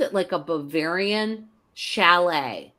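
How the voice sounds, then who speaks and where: At a very slow pace, a bright, sharp voice in a Pittsburgh accent moves with ordinary pitch variation, recorded very cleanly against a silent background. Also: woman. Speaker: retired teacher. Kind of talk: interview answer. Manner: casual, chatty.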